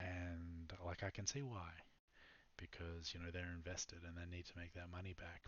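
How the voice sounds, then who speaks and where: A whispering man with an Australian accent at a moderate pace. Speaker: startup founder and programmer. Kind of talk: product pitch. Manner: halting, many fillers.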